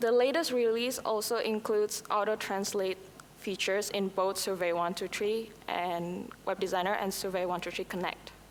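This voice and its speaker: A woman speaks at a moderate pace with an Indonesian accent. Her medium-pitched voice has fairly even intonation. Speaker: conference presenter. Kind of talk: conference presentation.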